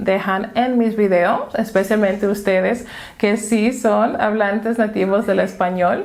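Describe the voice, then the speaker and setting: A woman with a slight non-native accent, at a fairly slow pace. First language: English (speaking Spanish). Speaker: language teacher. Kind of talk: tutorial.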